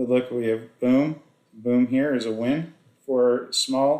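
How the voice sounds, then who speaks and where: This man's voice sits at a medium pitch and stays monotone, with flat intonation. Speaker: forex trading educator. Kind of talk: screen-share trading tutorial.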